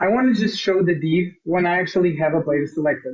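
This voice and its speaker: This man talks at a high pitch with a Portuguese accent. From Portugal. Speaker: software consultant. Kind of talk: tutorial. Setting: live stream.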